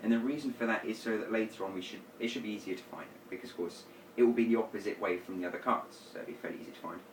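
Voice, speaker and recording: A man with a medium pitch and ordinary pitch variation talks over noticeable background noise. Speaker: magician teaching card tricks. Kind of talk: tutorial. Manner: fast.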